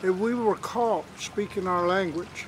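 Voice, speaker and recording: A man with an Appalachian accent speaks very slowly in a high voice, his intonation fairly even. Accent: Southern Appalachian American. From US South, western North Carolina (Cherokee reservation). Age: 80s+. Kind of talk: interview, personal reminiscence. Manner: halting, many fillers.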